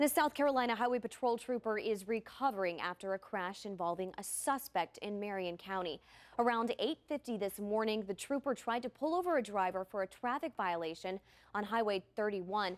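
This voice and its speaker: At a fairly quick pace, the speaker uses lively intonation with an American accent, in a very clean recording with a silent background and a dry, close sound with no echo. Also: woman, fairly high pitch for a woman. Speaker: television news anchor and reporter. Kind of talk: TV news anchor delivery. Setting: news studio. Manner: energetic, polished.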